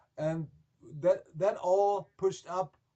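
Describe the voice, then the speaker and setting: Very slowly and with ordinary pitch variation, a man speaks in a German accent, his high-pitched voice carrying a dark, mellow tone. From Germany. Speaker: rock band singer. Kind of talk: interview. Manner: halting, many repetitions.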